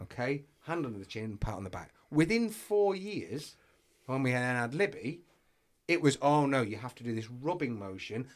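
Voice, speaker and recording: Loud and at a moderate pace, a man with an English accent speaks at a medium pitch with very wide pitch swings. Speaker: podcast co-host. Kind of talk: casual chat.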